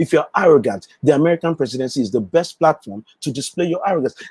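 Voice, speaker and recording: Recorded with a dry, close sound and no echo, a man with a strong Nigerian accent talks in an animated tone with ordinary pitch variation. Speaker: political commentator, livestream host. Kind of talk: live stream commentary.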